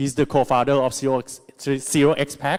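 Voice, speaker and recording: A man with a Thai accent at a moderate pace, on a very clean recording with a silent background. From Thailand. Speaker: conference MC. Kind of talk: event hosting. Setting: stage with audience.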